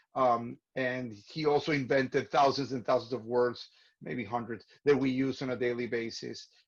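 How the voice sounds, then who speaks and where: At a moderate pace, a man with a non-native accent speaks in a medium pitch with fairly even intonation. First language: not English. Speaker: theater artistic director hosting webinar. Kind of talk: online class introduction. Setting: video call. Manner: halting, many fillers and repeats.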